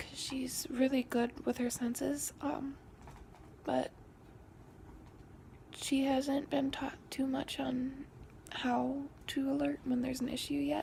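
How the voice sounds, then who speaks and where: Taking long, frequent pauses, a woman speaks at a very slow pace. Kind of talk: casual talk to camera. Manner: hesitant, rambling.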